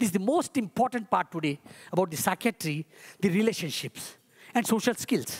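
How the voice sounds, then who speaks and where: Her delivery is fairly quick, with lively intonation, very even loudness and a somewhat breathy, medium-pitched voice. The woman's sound is dry and close, with no echo. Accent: Indian. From India. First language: Hindi. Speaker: ayurvedic physician. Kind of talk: conference talk. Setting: stage with audience.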